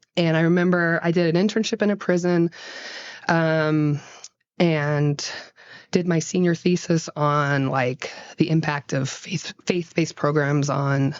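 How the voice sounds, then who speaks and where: In an American accent, a woman with a very deep, low voice speaks at a fairly slow pace and very even loudness. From Gainesville, Florida (US South). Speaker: play therapist. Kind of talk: casual chat. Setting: play therapy office. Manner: animated.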